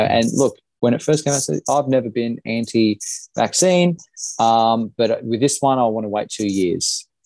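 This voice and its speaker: The voice carries an Australian accent and a dark, mellow tone at a moderate pace. Pitch variation is ordinary, and the sound is dry and close with no echo. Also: man. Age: 30s. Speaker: small business owner, former political candidate. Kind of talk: casual interview conversation.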